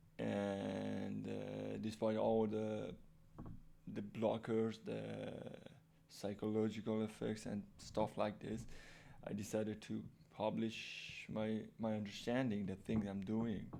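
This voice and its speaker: A man with a non-native accent, at a very slow pace with long, frequent pauses. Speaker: programming YouTuber. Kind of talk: casual tutorial talk. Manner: halting, many fillers and restarts; unscripted real-time speaking.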